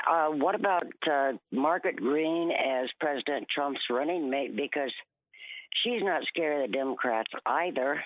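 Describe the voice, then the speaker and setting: A woman's very deep, low voice with lively intonation and very even loudness. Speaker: caller. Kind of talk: phone-in chat.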